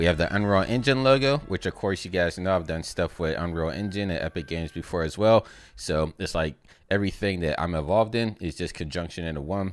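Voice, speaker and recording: The man talks at a very fast pace with lively intonation. His pitch is very deep and low. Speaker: YouTuber, motion graphics artist. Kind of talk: gameplay commentary. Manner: animated.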